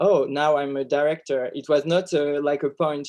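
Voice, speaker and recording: Over a quiet background, a man with a French accent speaks at a fairly slow pace. His voice sits fairly high in pitch and has a dark, mellow tone. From France. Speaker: film director. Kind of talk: interview. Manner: halting.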